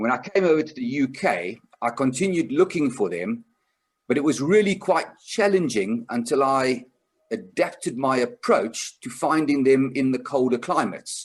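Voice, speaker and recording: Lively intonation marks a man with a South African accent speaking at a medium pitch and a moderate pace. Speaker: conservation group chair, seminar presenter. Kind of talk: online seminar presentation. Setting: online video seminar.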